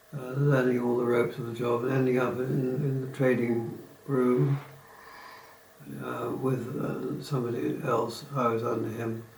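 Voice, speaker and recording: A man's medium-pitched voice with fairly even intonation at a moderate pace, audible room echo and noticeable background noise. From southeast England (Kent, Bromley). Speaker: retiree recounting life story. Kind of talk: oral history reminiscence. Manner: hesitant, with fillers and restarts.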